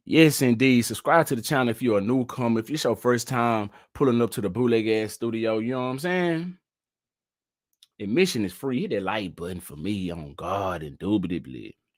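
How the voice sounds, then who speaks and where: On a very clean recording with a silent background, a medium-pitched man with an American accent speaks at a fairly quick pace in an animated tone with lively intonation. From Texas. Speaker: live-stream news commentator. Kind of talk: live stream commentary. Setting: home studio live stream. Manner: casual, animated.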